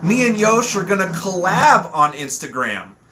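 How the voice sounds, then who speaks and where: Noticeable background noise surrounds a man whose raised, projected voice sits high in pitch. He speaks at a fairly slow pace with lively intonation. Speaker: livestream host. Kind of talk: casual livestream chat. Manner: animated.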